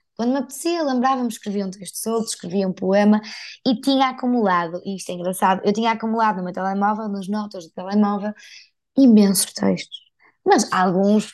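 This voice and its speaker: A woman speaks with a northern Portuguese accent against a quiet background. Her loudness swings widely from moment to moment. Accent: northern Portuguese (Porto), unchanged. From northern Portugal, Porto. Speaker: digital content creator and speaker. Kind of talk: interview, casual conversation.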